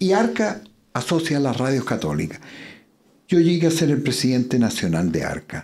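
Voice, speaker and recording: A man at a medium pitch and moderate pace, with very wide pitch swings and long, frequent pauses. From Chile, Curicó. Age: 80s+. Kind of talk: interview conversation.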